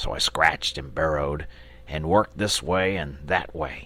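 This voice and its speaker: Over light background noise, a man puts on a raspy character voice and speaks at a moderate pace. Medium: read story. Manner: genial, chatty, gentlemanly.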